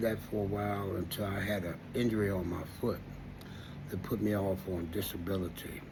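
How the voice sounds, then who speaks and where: With an American accent, a man speaks at a fairly low pitch in a somewhat breathy voice, with audible room echo. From Washington, D.C. area. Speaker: vlogger. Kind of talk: casual monologue. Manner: halting, many fillers.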